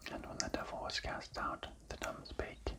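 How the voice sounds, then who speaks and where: Whispering at a moderate pace in a soothing tone, with noticeable background noise. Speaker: ASMR scripture reader. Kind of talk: scripture reading for sleep. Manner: soft-spoken, soothing.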